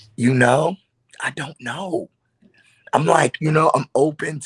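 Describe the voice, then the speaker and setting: A somewhat breathy man at a fairly slow pace, ordinary pitch variation, in a dry, close sound with no echo. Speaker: gospel singer. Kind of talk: interview. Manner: halting.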